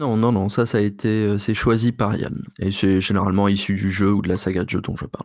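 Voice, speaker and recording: An ordinary speaking voice from a man, fairly low in pitch with fairly even intonation, at a fairly quick pace with hardly any pauses. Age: 30s. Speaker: linguistics researcher and podcaster. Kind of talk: interview.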